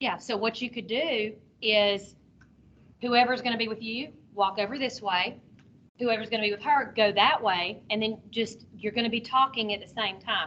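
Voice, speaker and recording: Loud and fairly high-pitched, a woman speaks with fairly even intonation and a bright, sharp tone. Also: moderate pace. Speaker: teacher trainer. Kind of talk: workshop presentation. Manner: talkative.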